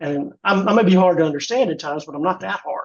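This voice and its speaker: A man's high voice with a Southern US accent at a fairly quick pace. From US South. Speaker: fraud prevention volunteer. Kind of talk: webinar presentation. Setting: online webinar. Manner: casual, repetitive restarts.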